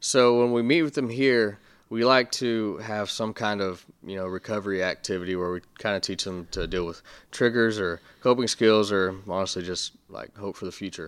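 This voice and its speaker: An unremarkable speaking voice from a man with an American accent, fairly low in pitch, with ordinary pitch variation. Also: moderate pace, very clean recording, silent background. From Texas Panhandle, Amarillo. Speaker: youth recovery coach. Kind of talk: interview. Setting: office.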